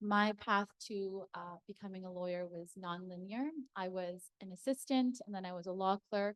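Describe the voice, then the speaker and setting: In a Canadian accent, a woman speaks with a plain, everyday voice at a medium pitch and ordinary pitch variation. Her pace is moderate, and the sound is dry and close with no echo. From Toronto. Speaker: lawyer. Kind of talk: panel discussion.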